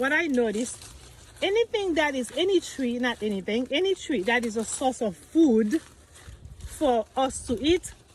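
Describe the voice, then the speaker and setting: The speech moves at a moderate pace. Noticeable background noise can be heard. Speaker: vlogger. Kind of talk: casual vlog talk.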